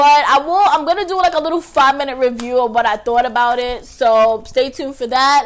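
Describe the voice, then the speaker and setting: A woman talks at a fairly quick pace in an animated tone. Her high-pitched voice has lively intonation. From New York, Staten Island. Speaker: podcast host. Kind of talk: casual livestream chat.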